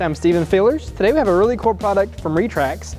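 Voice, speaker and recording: A man talks at a very fast pace. Faint music plays behind him. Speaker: presenter. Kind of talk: product tutorial. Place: garage. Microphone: lapel.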